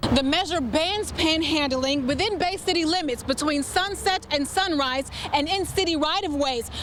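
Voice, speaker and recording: A woman's high-pitched voice with hardly any pauses, over noticeable background noise. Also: ordinary pitch variation, moderate pace, very even loudness. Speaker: TV news reporter and anchor. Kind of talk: TV news field report.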